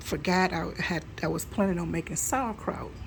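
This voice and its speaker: A soft-spoken woman talks at a moderate pace. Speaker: home canning vlogger. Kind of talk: casual vlog talk. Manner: halting.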